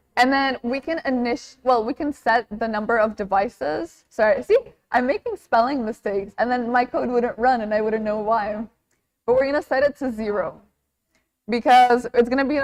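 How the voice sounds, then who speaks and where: A woman speaks at a moderate pace with a non-native accent and a high pitch. Her pitch varies in an ordinary way, and the sound is dry and close with no echo. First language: not English. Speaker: workshop instructor. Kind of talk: tutorial. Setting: live workshop with audience. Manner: casual, conversational.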